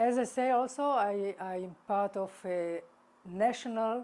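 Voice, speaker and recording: A dark, mellow tone at a very slow pace, with ordinary pitch variation. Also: woman. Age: 60s. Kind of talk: interview. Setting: on camera interview. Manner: halting, many fillers.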